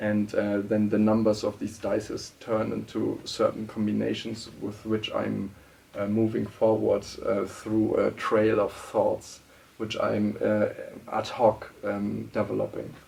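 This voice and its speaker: A man speaks with a German accent. His pace is fairly slow. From Germany. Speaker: political scientist and writer. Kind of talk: interview. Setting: studio. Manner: halting, many fillers and restarts.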